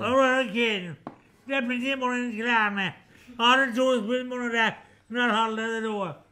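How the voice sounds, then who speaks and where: A man with a strong Irish accent and an extremely high voice for a man, fairly even in intonation, at a moderate pace. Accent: very strong rural Kerry Irish. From Kerry, Ireland. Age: 70s. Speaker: farmer. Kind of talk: casual interview answers in a pub. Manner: thick, hard to understand. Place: bar.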